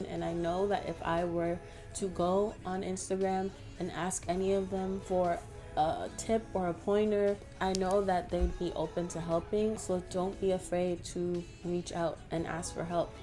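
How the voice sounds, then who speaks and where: A woman talks in a fairly low pitch with monotone, flat intonation. Music runs in the background. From Toronto, Canada. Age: 20s. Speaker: graphic designer. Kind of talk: Q&A answers to camera.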